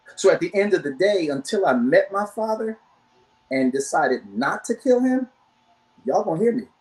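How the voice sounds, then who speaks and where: A man speaks at a moderate pace in a high voice, his pitch swinging very widely, with long pauses that come often. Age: 60s. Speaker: church men's counselor. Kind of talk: testimony.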